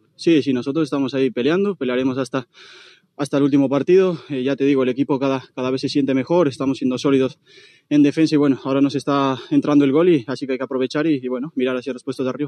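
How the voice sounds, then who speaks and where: A man's very fast, medium-pitched voice, dark and mellow in tone, with fairly even intonation and a dry, close sound with no echo. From Colombia. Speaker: footballer. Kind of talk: post-match interview. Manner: halting.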